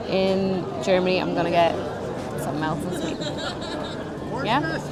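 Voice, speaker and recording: Amid crowd noise and audible room echo, a woman with a Dublin accent speaks at a medium pitch. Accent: Dublin Irish. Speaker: travel vlogger. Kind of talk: casual vlog chat. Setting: outdoors at a theme park.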